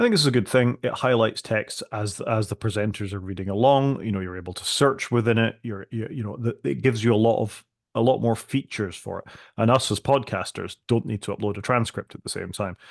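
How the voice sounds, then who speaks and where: A voice in a Scottish accent comes through over a quiet background. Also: man, medium pitch for a man, ordinary pitch variation, fairly quick pace. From Scotland. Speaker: podcast co-host. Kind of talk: casual tech discussion.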